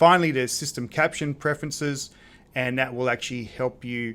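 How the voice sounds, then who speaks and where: With an Australian accent, a man speaks at a medium pitch. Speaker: presentation skills tutor. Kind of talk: software tutorial. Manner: casual, with filler words.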